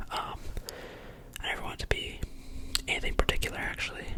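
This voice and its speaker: Whispering comes at a very fast pace amid noticeable background noise. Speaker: college student with summer internship. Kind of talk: asmr roleplay phone call, casual conversation. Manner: whispered, soft-spoken.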